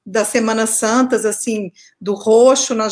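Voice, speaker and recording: In a Minas Gerais accent, a woman speaks at a very slow pace. Her pitch is fairly high and her intonation fairly even. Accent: Minas Gerais (mineiro). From Minas Gerais, Brazil. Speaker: researcher, artist and author. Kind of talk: interview.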